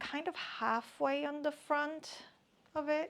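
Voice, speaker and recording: This woman's voice has a bright, sharp tone and lively intonation. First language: not English. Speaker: crafting YouTuber, knitter and crocheter. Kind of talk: casual show-and-tell vlog. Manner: hesitant, repeats words.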